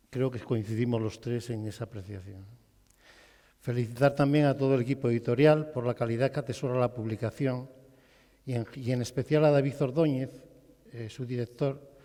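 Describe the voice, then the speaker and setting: At a moderate pace with long, frequent pauses, a man speaks at a medium pitch in a dark, mellow tone with fairly even intonation, captured in a very clean recording with a silent background. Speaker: former school headmaster. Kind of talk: public talk at presentation event. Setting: theatre stage with audience. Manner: loud.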